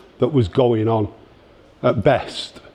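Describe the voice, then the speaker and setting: A man with a Manchester accent speaks at a very slow pace. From northern England, Denton, Greater Manchester. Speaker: punk scene speaker. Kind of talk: talk to an audience. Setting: library exhibition event with audience. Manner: halting, many repetitions.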